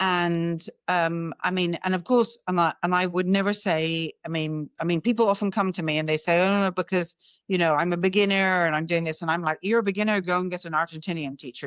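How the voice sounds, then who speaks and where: In a British accent, a woman speaks at a fairly low pitch with ordinary pitch variation, the sound dry and close with no echo over a quiet background. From Britain. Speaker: communication coach. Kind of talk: interview. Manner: halting, many restarts.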